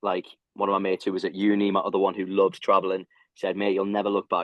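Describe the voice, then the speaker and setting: A man with a fairly low pitch rushes through his words at a very fast pace. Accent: British. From UK. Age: 20s. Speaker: ultra runner. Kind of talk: podcast interview answer.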